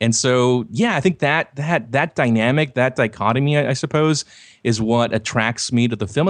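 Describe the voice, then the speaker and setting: There is a quiet background as a man talks at a moderate pace. He has a plain, everyday voice with ordinary pitch variation. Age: 30s. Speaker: website host and commentator. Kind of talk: casual chat. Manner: laughs often.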